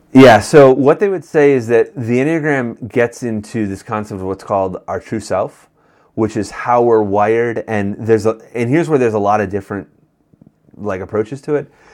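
With an American accent, a man talks in an unremarkable speaking voice at a medium pitch, with ordinary pitch variation and a moderate pace. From Western New York. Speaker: pastor. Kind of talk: casual chat.

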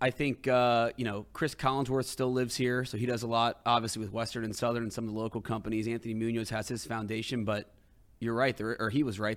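A man speaks at a very fast pace with fairly even intonation. His pitch is medium, and the recording is very clean with a silent background. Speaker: show producer. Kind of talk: casual chat. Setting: studio.

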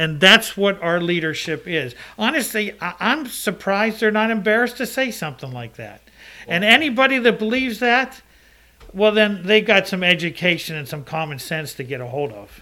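In a raised, projected voice with a bright, sharp tone, a man speaks at a moderate pace and high pitch, with very wide pitch swings and big swings in loudness. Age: 60s. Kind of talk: casual chat.

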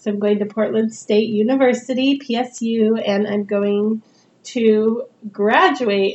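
A woman speaks with a West Coast American accent at a fairly high pitch. Her pitch varies in an ordinary way. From Northern California. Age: 40s. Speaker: podcast host, mature student. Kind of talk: casual monologue. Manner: casual, with frequent fillers.

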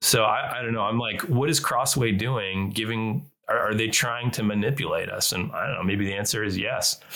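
A man with a plain, everyday voice, medium pitch, a moderate pace and hardly any pauses. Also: ordinary pitch variation. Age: 30s. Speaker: podcast co-host. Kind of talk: casual discussion.

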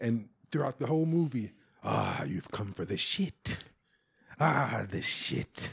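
A man with an American accent speaks at medium pitch with vocal fry. His pitch swings very widely, broken by long, frequent pauses. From US South, Mississippi. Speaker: comedian. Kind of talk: casual chat.

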